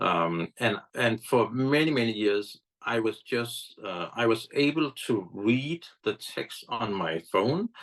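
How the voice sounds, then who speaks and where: Talking at a very slow pace with hardly any pauses, a man at a medium pitch keeps his intonation lively. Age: 60s. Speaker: app founder, blind advocate. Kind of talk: interview. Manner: halting, many fillers.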